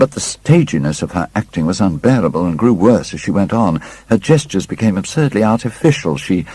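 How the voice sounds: The reading comes in a natural reading voice.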